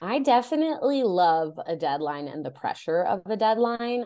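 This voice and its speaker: In an American accent, a woman speaks with a normal speaking voice and lively intonation. Her pace is fairly slow against a quiet background. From Chicago area, Illinois (US Midwest). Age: 30s. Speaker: romance novelist. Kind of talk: casual interview chat.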